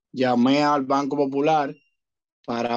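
With a Dominican accent, a man talks at a medium pitch with fairly even intonation. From Dominican Republic. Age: young. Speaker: rideshare driver, former bank employee. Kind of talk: casual chat.

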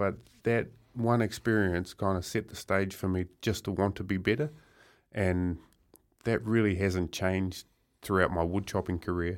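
A man with a New Zealand accent speaks at a very deep, low pitch and a moderate pace, with fairly even intonation. Long pauses come often in this very clean recording over a silent background. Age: 40s. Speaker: professional wood chopper. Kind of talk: radio interview.

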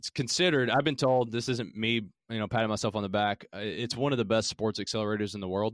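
With a Southern Appalachian accent, a man speaks at a medium pitch and a fairly quick pace. The sound is dry and close with no echo, and the background is quiet. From Appalachia, southeastern Kentucky. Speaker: startup founder. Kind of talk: casual interview chat.

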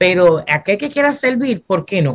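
Somewhat breathy, a woman speaks fairly slowly at a medium pitch with a Puerto Rican accent. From Puerto Rico, Fajardo. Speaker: pastor. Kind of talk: casual chat.

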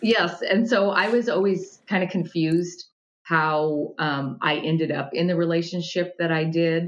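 A woman with an American accent, fairly low in pitch, at a fairly slow pace with ordinary pitch variation. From Montana, US. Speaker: toxic relationship specialist. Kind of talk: interview. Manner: animated.

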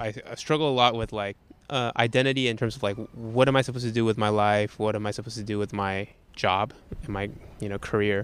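A man rattles along at a very fast pace, his pitch medium and his intonation fairly even. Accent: American. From Taiwan, then US. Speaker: storytelling facilitator. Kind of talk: casual chat.

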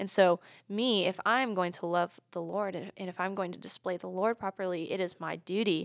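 A plain, everyday voice from a woman with an American accent, fairly quick in pace, medium in pitch, fairly even in intonation, dry and close with no echo, on a very clean recording with a silent background. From US South, Charlotte area, North Carolina. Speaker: university student and ministry group leader. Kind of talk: casual chat.

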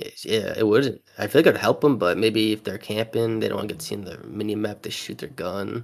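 A man with a plain, everyday voice speaks at a fairly low pitch and a fairly quick pace, with ordinary pitch variation, hardly any pauses and big swings in loudness. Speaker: guest, Call of Duty fan. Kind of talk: casual chat.

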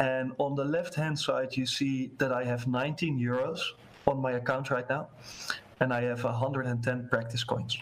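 A man's flat, monotone delivery at medium pitch and a fairly slow pace, in a Dutch accent, over noticeable background noise. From Netherlands. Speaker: sales professional in a gaming company. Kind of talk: casual interview chat. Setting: video call with screen sharing.

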